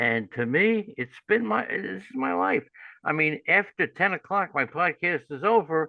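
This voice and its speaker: This man's voice sits fairly high and has vocal fry. He speaks at a fairly slow pace, with very wide pitch swings. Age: 70s. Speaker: fantasy baseball analyst and radio host. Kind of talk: podcast interview.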